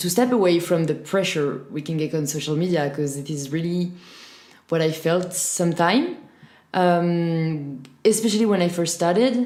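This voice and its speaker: A woman with a French accent speaks at a moderate pace, her fairly low pitch showing ordinary variation. Her tone is dark and mellow, and the room echo is audible. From France. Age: 20s. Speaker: fitness influencer. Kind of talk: podcast interview.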